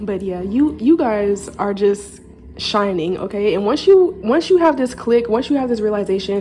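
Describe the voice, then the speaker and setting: A woman's medium-pitched voice with lively intonation, over noticeable background noise. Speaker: tarot reader. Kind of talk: intuitive card reading to camera. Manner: fast; slurred words.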